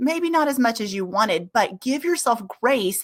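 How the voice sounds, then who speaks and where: A woman's ordinary speaking voice, fairly high in pitch, at a moderate pace with lively intonation. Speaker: music educator and business founder. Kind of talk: webinar presentation. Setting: live online webinar.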